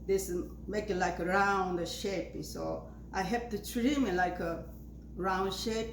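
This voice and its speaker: Amid noticeable background noise and audible room echo, a woman with an Asian accent speaks at a very slow pace. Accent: non-native Asian. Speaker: flower arranging video maker. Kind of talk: tutorial. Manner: halting, many fillers.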